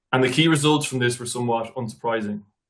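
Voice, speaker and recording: A man talks in an Irish accent at a medium pitch. His intonation stays fairly even. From Ireland. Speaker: nutrition researcher. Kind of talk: academic presentation. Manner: formal.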